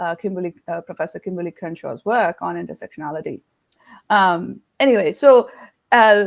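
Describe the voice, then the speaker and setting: A woman at medium pitch with vocal fry, lively intonation, big swings in loudness and a moderate pace. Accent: Indian. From India. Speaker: leadership coach and consultancy founder. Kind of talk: interview conversation. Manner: many hesitations and fillers.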